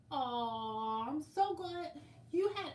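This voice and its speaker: A woman's voice comes through loud, with a bright, sharp tone. Her pitch swings very widely. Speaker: quilting livestream host. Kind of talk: casual livestream chat.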